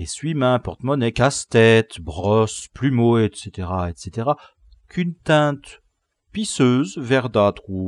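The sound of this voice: An unforced reading voice with lively intonation, heard over a quiet background.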